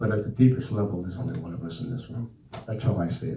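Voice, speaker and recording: Here a man talks fairly quickly in a New Jersey accent, his tone dark, mellow and somewhat breathy. His pitch swings very widely. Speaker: author and speaker. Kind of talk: talk with audience Q&A. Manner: animated.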